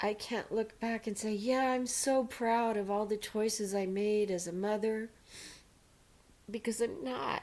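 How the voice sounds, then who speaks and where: Ordinary pitch variation and a fairly slow pace in an unremarkable speaking voice. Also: woman, fairly high pitch for a woman. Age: 60s. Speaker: widow sharing faith story. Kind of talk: personal testimony.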